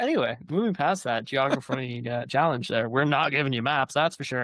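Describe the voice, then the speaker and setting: A man talks in a plain, everyday voice at a fairly high pitch. His pace is fairly quick, with ordinary pitch variation. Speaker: author. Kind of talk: casual conversation.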